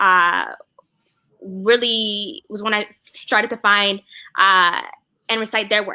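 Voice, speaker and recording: A woman's bright, sharp tone in an American accent. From US South, Atlanta. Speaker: spoken word poet. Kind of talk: interview. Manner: rhythmic.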